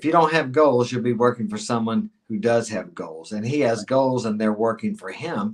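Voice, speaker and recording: At a moderate pace, a man with a medium-pitched voice speaks with lively intonation in an unremarkable speaking voice. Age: 60s. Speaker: dating and life advice guest. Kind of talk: podcast interview.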